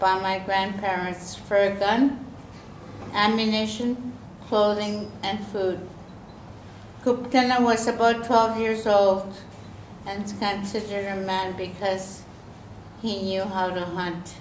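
A woman speaks at a very slow pace, with long pauses coming often. There is audible room echo and a light background noise. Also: fairly even intonation. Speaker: guest lecturer. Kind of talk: lecture. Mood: calm, measured storytelling.

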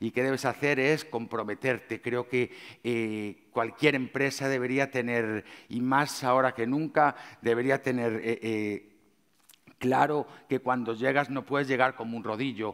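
A man speaks at a fairly slow pace in a medium pitch, his intonation flat and monotone against a quiet background. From Galicia, Spain. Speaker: chef. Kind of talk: conference talk. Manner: hesitant, many fillers. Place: stage. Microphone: headset.

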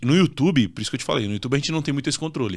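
A man's voice with lively intonation against a quiet background. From southern Brazil (Santa Catarina). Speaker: real estate fund investment influencer. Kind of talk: casual interview. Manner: direct. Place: studio. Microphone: studio mic.

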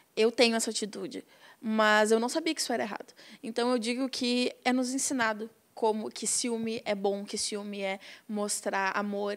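Fairly even intonation runs through a woman's speech at a moderate pace. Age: young. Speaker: activist, documentary participant; guest. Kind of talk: interview. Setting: studio. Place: studio. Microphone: handheld.

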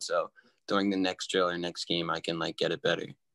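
A man's fairly quick speech in a monotone, flat intonation. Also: quiet background. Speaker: guest. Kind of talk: interview answer. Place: home room.

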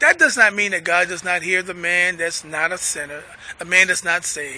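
At a moderate pace, a man speaks in a raised, projected voice. The sound is dry with no echo. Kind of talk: sermon. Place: street. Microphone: phone near.

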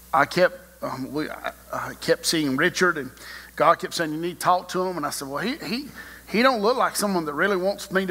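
A man's raised, projected voice at a moderate pace. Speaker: preacher. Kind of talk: sermon. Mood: warm, smiling. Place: church. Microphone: podium.

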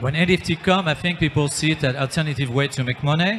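Over light background noise, a man talks at a fairly quick pace with a fairly high pitch and ordinary pitch variation. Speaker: startup founder and film director. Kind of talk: panel discussion. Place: hall. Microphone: handheld.

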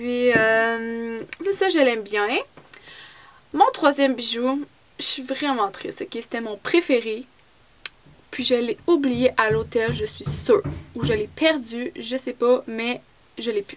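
Over faint music in the background, a speaker with a Quebec accent talks at a very slow pace, with lively intonation, big swings in loudness and long, frequent pauses. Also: woman, high pitch for a woman. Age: 20s. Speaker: beauty vlogger. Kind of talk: product review vlog. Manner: casual, hesitant. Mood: chatty, a bit upset about loss. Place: home room. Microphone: phone near.

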